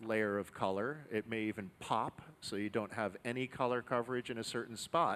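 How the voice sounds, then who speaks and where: A man's voice with fairly even intonation. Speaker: demo team narrator. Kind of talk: live demonstration commentary. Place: workshop. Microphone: headset.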